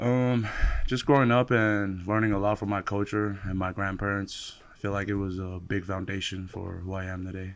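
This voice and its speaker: In a very clean recording with a silent background, a man with an American accent talks at a moderate pace in a plain, everyday voice, with a fairly low pitch and fairly even intonation. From American Samoa. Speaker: college football player. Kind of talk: interview.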